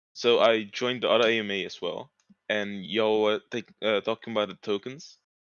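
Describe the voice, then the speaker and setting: A man's medium-pitched voice with a non-native accent, fairly even intonation and a fairly quick pace. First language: not English. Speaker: community member asking a question. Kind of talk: live AMA Q&A.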